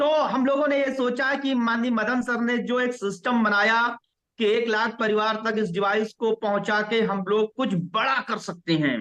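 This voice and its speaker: A man's voice, extremely high in pitch, holds very even loudness and fairly even intonation. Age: 30s. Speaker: network marketing leader. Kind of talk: motivational talk.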